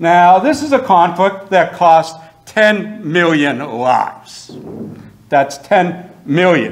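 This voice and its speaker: Very slowly and at a high pitch, a man talks amid noticeable background noise and audible room echo. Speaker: history professor. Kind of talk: lecture. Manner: loud. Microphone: no microphone, projecting.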